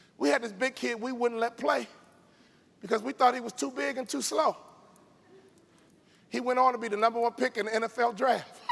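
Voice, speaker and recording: A man with an extremely high pitch and an animated tone, ordinary pitch variation, a fairly quick pace broken by long, frequent pauses, and noticeable background noise. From Chicago, South Side. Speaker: motivational speaker, former NBA player. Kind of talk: keynote speech.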